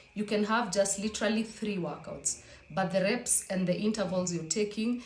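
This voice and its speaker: Audible room echo around a woman's speech at a moderate pace. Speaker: fitness vlogger. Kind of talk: casual vlog talk.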